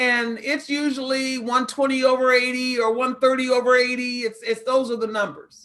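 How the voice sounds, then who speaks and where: A woman speaks at a moderate pace in a high pitch. Her intonation is monotone and flat. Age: 60s. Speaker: pharmacist and diabetes educator. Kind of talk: health talk in an online mentoring session.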